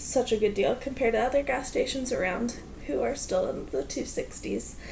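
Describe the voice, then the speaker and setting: With an American accent, a woman speaks at a moderate pace over noticeable background noise. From US Pacific Northwest. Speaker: vlogger. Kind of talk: casual vlog. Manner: energetic.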